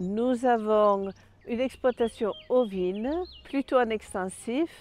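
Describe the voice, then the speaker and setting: Speaking with a Danish accent, a woman keeps to a very slow pace. Her pitch is fairly high, with ordinary pitch variation. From Denmark. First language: Danish (speaking French). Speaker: sheep farmer and agricultural representative. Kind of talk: self-presentation portrait.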